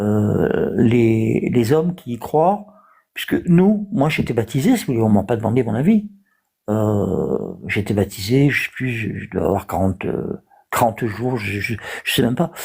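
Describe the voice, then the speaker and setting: Somewhat breathy and fairly slow, the voice has lively intonation in a very clean recording with a silent background. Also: man, medium pitch for a man. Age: 60s. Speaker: live stream participant. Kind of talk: debate. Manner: halting, many hesitations.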